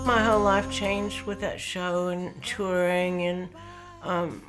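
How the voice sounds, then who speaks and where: Over background music, a woman with a West Texas accent talks very slowly at a medium pitch, her intonation flat and monotone. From Lubbock, Texas. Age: 70s. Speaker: songwriter and performer. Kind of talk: interview answer. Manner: candid, self-deprecating.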